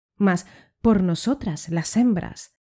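A woman speaks at a very slow pace, her dark, mellow voice somewhat breathy and dramatic in tone. Her intonation is lively, and the recording is very clean with a silent background. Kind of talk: poem reading aloud. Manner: dramatic, declamatory, with indignant, ironic tone; measured, rhythmic delivery.

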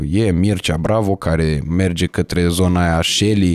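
Against a quiet background, a man speaks with a very deep, low pitch in a dry sound with no echo. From Romania. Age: 20s. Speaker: podcast host. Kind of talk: casual chat. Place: studio. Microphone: studio mic.

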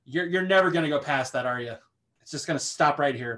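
A man speaks in an unremarkable speaking voice, fairly high in pitch with ordinary pitch variation. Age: 30s. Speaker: podcast co-host. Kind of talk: casual chat.

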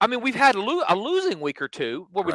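A man speaks in a raised, projected voice with a bright, sharp tone and very wide pitch swings. The background is quiet, and the sound is dry with no echo. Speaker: sports betting show host. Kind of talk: podcast commentary. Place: home room. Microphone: headset.

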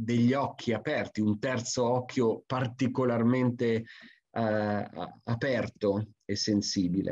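The tone is dark and mellow, with fairly even intonation. The pace is fairly slow against a quiet background. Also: man. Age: 50s. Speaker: forestry expert and lecturer; presenter. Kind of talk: conference talk; webinar lecture. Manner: hesitant with frequent fillers. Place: home room. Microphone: webcam.

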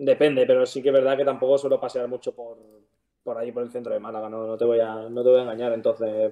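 Against a quiet background, a man speaks at a very fast pace. His intonation is monotone and flat. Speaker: professional footballer; guest. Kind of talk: casual interview. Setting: live stream. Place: home room. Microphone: video call.

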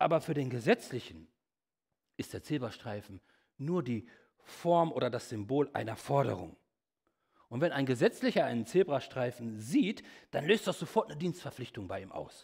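A man's somewhat breathy voice at a moderate pace, with long, frequent pauses, big swings in loudness, and a quiet background. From Germany, Lippe region (Bad Salzuflen); Germany. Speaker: evangelist, guest preacher; preacher. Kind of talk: sermon. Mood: humorous, lively. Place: church.

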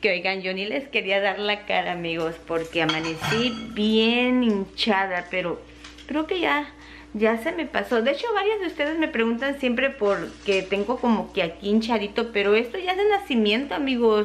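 Lively in intonation, a woman talks at a moderate pace over light background noise. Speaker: home vlogger. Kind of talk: casual vlog chat. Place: kitchen. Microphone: phone near.

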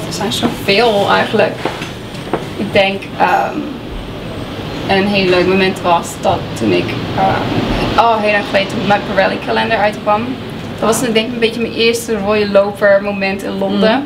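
A woman with a slight American accent speaks at a fairly slow pace, with long, frequent pauses and noticeable background noise. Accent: Dutch with an American tinge. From Friesland, Netherlands. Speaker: fashion model. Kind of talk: interview answer. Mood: relaxed, cheerful. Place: studio.

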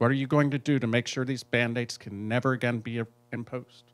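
A man talks at a fairly quick pace. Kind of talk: reading prepared questions. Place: meeting room. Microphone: handheld.

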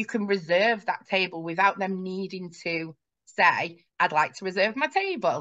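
A woman talks at a moderate pace. The background is quiet. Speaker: guest. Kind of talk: interview answer. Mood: friendly, engaged. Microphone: video call.

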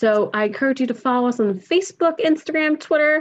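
Her pitch swings very widely. The woman moves at a fairly quick pace. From Philadelphia, Pennsylvania; Pennsylvania. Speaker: environmental education director; presenter. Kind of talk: webinar presentation. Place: home room. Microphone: webcam.

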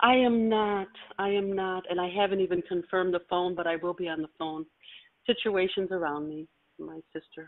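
A woman with an unremarkable speaking voice talks at a medium pitch with fairly even intonation. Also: moderate pace. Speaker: class participant. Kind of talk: question in group call. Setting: conference call.

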